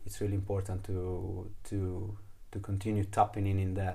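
The voice is somewhat breathy, with a dark, mellow tone. Audible room echo surrounds it. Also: man. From Italy. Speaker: trekking guide and fire keeper. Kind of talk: casual chat. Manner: halting.

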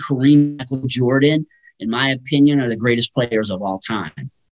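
The sound is dry and close with no echo. It carries an unremarkable speaking voice at a moderate pace. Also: man. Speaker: sports talk guest. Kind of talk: radio interview, sports talk. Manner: conversational, thoughtful, some filler words.

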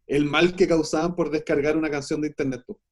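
Speaking with a Chilean accent, a man talks at a fairly quick pace. His pitch is fairly high. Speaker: film editor. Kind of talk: casual chat. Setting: remote call.

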